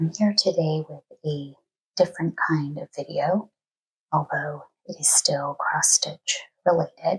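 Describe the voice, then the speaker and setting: Soft-spoken and somewhat breathy, a woman with a very deep, low pitch talks at a fairly slow pace with fairly even intonation, long, frequent pauses and big swings in loudness. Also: dry, close sound with no echo. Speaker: cross stitch YouTuber (flosstube). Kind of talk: casual talk to camera, craft book flip-through.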